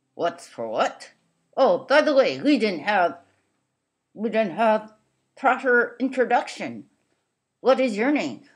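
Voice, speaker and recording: In a cartoonish character voice with a fairly high pitch, the speaker goes at a fairly slow pace with long, frequent pauses. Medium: puppet show. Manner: cheerful, friendly.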